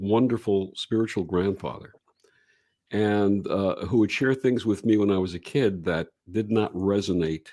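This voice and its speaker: Speaking at a fairly slow pace in an American accent, a man with a fairly low pitch uses ordinary pitch variation on a very clean recording with a silent background. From Brooklyn, New York. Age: 60s. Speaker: reverend and radio show host. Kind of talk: interview storytelling.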